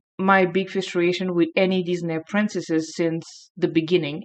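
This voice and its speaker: A woman speaks with a strong French accent at a fairly slow pace. The background is quiet. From France. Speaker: youtuber. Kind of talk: video essay.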